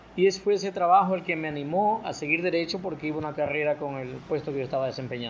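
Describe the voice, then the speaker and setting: A man at a very fast pace with hardly any pauses, his fairly high pitch showing ordinary variation. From El Oro province, coastal Ecuador. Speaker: sports broadcaster and lawyer. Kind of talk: testimony.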